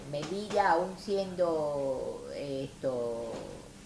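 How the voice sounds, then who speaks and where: Noticeable noise fills the background as a woman talks in a very deep, low pitch. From Melilla and Tetuán, northern Morocco. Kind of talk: oral history interview answer.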